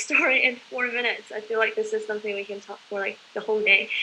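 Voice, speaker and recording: The speaker has a Chinese accent. The intonation is fairly even. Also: woman. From southeast China. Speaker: conference participant. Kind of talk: casual group chat. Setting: video call.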